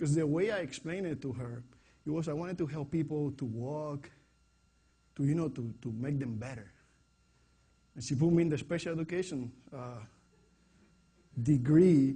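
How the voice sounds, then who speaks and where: A man speaks in a somewhat breathy voice at a fairly high pitch with ordinary variation. He keeps a moderate pace broken by long, frequent pauses. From Puerto Rico. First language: Spanish. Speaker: fitness coach. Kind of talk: presentation to an audience.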